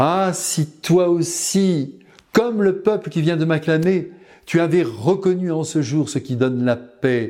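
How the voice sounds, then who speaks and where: A man's very slow, solemn delivery, dark and mellow in tone, high-pitched, with ordinary pitch variation. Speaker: preacher. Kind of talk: homily on a gospel passage, warm and earnest, spoken directly to the faithful. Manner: fervent, solemn and pastoral, with emotional emphasis on the sorrow of the Christ; measured, didactic pace with rhetorical exclamations, ending in a tender blessing.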